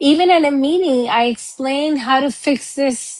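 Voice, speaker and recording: A woman with a Cuban accent, at a fairly slow pace and with ordinary pitch variation. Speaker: accountant. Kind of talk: interview.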